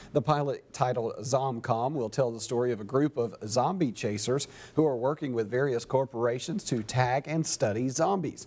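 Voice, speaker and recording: A man talks at a moderate pace with hardly any pauses. His pitch variation is ordinary. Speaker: TV news anchor and reporter. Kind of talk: TV news anchor/reporter delivery.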